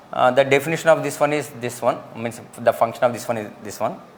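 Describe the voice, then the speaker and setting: Here is a man with an ordinary speaking voice. His pitch variation is ordinary. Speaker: lecturer. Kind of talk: lecture. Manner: repetitive.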